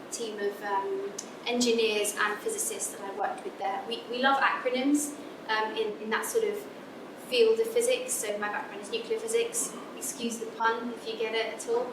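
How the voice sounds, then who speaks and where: Her fairly high voice holds fairly even intonation at a moderate pace, though this woman's loudness swings widely over noticeable background noise and audible room echo. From England. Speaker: physicist. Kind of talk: lecture. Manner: halting.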